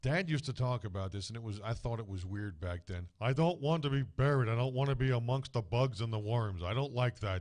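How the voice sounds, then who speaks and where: With a New Jersey accent, a man speaks at medium pitch and a fairly quick pace, with lively intonation and hardly any pauses. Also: quiet background. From New Jersey (East Brunswick). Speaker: guest. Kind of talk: casual chat. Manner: animated.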